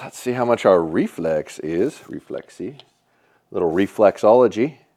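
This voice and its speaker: A man's medium-pitched voice with a dark, mellow tone at a moderate pace, ordinary pitch variation and big swings in loudness, over a quiet background. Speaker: archery bow reviewer. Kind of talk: product review tutorial. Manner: loud at times; casual, conversational.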